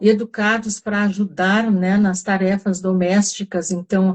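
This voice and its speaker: A somewhat breathy voice with a dark, mellow tone, very slow and monotone with flat intonation. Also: woman. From southern Brazil (Rio Grande do Sul). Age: 70s. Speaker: wellness group facilitator. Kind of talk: live online talk. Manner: halting, many fillers.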